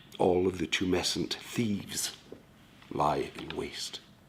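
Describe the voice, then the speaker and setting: A man whispers in a Scottish accent. His pace is fairly slow. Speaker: author reading his own writing. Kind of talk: dark spoken-word poetry reading.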